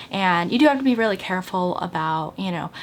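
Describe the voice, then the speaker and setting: Her voice sits at a medium pitch. The woman's delivery moves at a fairly quick pace. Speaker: lifestyle vlogger. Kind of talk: casual vlog monologue. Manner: fast; animated.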